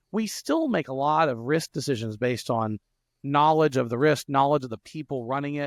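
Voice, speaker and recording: A man with a Louisiana accent and a fairly high pitch, in dry, close sound with no echo on a very clean recording against a silent background. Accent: Southern US (Louisiana). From South Louisiana. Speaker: software entrepreneur and podcast host. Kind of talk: podcast interview. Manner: fast, with frequent stutters and restarts.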